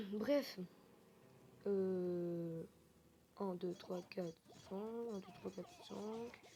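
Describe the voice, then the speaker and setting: A woman's dark, mellow tone at a medium pitch, broken by long, frequent pauses. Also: ordinary pitch variation. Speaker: gaming youtuber. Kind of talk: gameplay commentary. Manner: fast; hesitant, many fillers.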